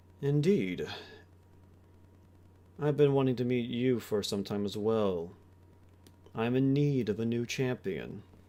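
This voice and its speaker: A man puts on a character voice at a medium pitch. He goes at a fairly slow pace with long, frequent pauses. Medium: actual play. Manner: playful, teasing.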